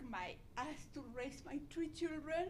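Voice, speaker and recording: Pitch varies in an ordinary way. Audible room echo surrounds the voice. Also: woman. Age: 70s. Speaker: patient family member asking a question. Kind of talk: audience question at a conference Q&A.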